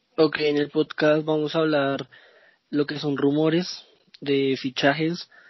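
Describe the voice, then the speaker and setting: Here a man talks at a very slow pace in a fairly high pitch. His intonation stays monotone and flat. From Colombia, Bogotá. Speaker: football podcast co-host. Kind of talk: casual football podcast chat.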